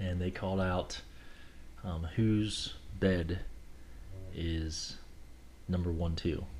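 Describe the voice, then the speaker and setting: A man with an American accent and a very deep, low pitch, somewhat breathy, monotone and flat, at a very slow pace with long, frequent pauses and audible room echo. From Kentucky, US. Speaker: air force officer. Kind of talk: casual interview.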